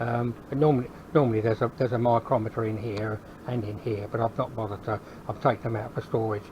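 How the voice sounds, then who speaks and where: A man talks at a very fast pace in a medium-pitched voice with fairly even intonation. Noticeable background noise runs underneath. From England, London. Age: 70s. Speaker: hobby metalworker YouTuber. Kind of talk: workshop tour. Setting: garage workshop. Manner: halting, many fillers and repeats; casual.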